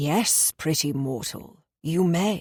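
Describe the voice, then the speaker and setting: Putting on a growling character voice, a woman speaks at a fairly low pitch with lively intonation. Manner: wise, measured.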